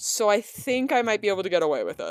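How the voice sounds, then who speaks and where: The voice has an animated tone and moves at a fairly quick pace. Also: woman. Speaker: video essayist. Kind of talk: video essay. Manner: fast; casual, animated.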